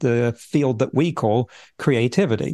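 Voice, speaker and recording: A man speaks with an English accent. The sound is dry and close with no echo, over a quiet background. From England. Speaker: futurist and author. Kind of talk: interview conversation.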